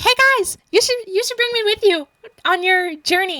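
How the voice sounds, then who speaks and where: Using a put-on character voice, a woman squeaks at an extremely high pitch and a moderate pace, with a dry, close sound and no echo. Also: ordinary pitch variation. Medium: solo performance. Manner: peculiar, funny way of talking.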